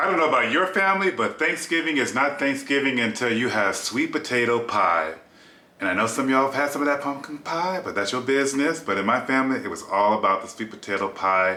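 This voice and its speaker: Over noticeable background noise and audible room echo, a man speaks very fast at a medium pitch with lively intonation. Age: 50s. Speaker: cooking vlogger, flight attendant. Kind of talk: cooking tutorial. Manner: casual, chatty.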